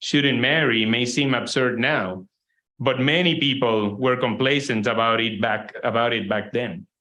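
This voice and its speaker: A man with a Spanish accent, medium pitch, ordinary pitch variation and a fairly slow pace. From Puerto Rico. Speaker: environmental organization president. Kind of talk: keynote lecture.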